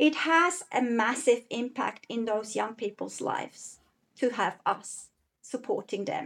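The woman's pitch is high and her intonation lively. She speaks at a fairly slow pace. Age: 40s. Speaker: guest parent advocate. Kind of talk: interview conversation, personal storytelling.

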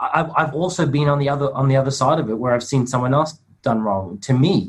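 Speaking at a very fast pace, a man with an Australian accent sounds somewhat breathy. His pitch is fairly high. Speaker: men's coach and meditation teacher. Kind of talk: group video call discussion.

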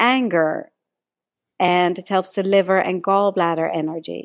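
At a moderate pace, a woman with a medium pitch and a slight Dutch accent speaks with ordinary pitch variation on a very clean recording with a silent background. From Netherlands. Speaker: energy healing teacher and author. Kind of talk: podcast interview.

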